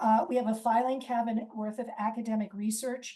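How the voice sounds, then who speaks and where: The tone is dark and mellow. The pace is moderate. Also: woman. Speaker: lawyer and lecturer. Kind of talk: presentation.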